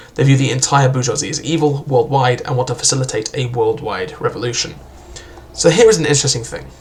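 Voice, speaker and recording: With music playing in the background, a man with a fairly high pitch speaks at a very fast pace. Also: ordinary pitch variation. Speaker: book reviewer. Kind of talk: casual book review talk to camera.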